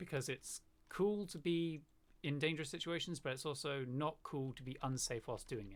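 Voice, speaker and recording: A man's fairly high voice with a slight southern British accent, moderate pace and ordinary pitch variation. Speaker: gamer. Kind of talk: casual chat.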